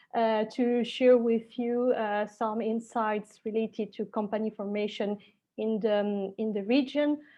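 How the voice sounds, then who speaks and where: A woman with a strong French accent, fairly high in pitch, flat and monotone, at a fairly slow pace. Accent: very strong French accent in English. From Switzerland, French-speaking, Spanish roots. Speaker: lawyer. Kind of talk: webinar presentation. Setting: online webinar.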